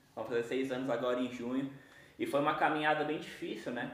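Amid audible room echo, a man speaks at a fairly high pitch and moderate pace with fairly even intonation. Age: 20s. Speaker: young evangelical church minister. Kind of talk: casual chat, personal testimony.

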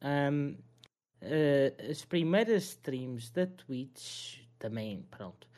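A man with a European Portuguese accent, a dark, mellow tone, fairly high pitch, lively intonation and a very slow pace. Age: 20s. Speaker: streamer and restaurant worker. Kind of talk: casual chat.

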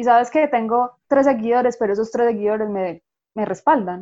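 A woman with an ordinary speaking voice talks at a fairly quick pace with ordinary pitch variation. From Colombia. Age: 30s. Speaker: graphic designer and illustrator. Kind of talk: interview.

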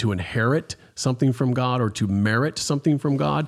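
A man with an ordinary speaking voice, medium pitch, lively intonation and a fairly quick pace. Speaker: pastor. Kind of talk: interview.

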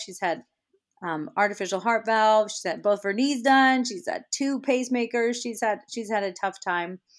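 In an ordinary speaking voice, a woman with an American accent talks at a moderate pace, her pitch fairly high with ordinary variation, on a very clean recording with a silent background. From Iowa. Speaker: radio host. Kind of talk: testimony.

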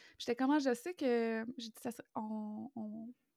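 A woman with a Quebec accent speaks at a fairly high pitch in a dark, mellow tone and fairly even intonation. The sound is dry and close, with no echo. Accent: Québécois French. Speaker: podcast co-host. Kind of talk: casual chat.

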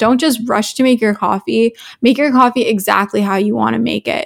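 In a Canadian accent, a woman with a fairly high pitch and an unremarkable speaking voice talks at a moderate pace with fairly even intonation. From Canada, Toronto. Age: 20s. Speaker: lifestyle content creator and student. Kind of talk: casual interview chat.

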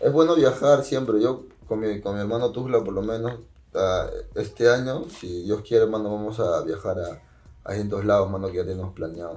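At a moderate pace, a man speaks with lively intonation and a dark, mellow tone. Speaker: rapper. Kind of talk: casual chat.

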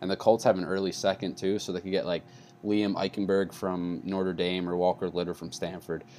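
A man's very deep, low voice in a dark, mellow tone with an American accent, fairly quick pace and fairly even intonation, against a quiet background. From New York. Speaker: sports podcast host. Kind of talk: casual sports chat. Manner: loud, rant-like.

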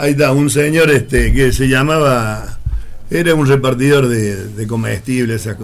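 A man's medium-pitched voice, with ordinary pitch variation, is heard through audible room echo and noticeable background noise. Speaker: former newspaper seller. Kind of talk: casual chat.

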